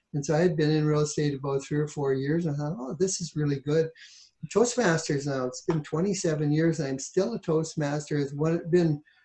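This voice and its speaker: Speaking in a Canadian accent, a man with a fairly high, dark and mellow voice, somewhat breathy, talks at a fairly quick pace with fairly even intonation. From Ontario, Canada. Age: 60s. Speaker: author and realtor. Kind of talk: interview.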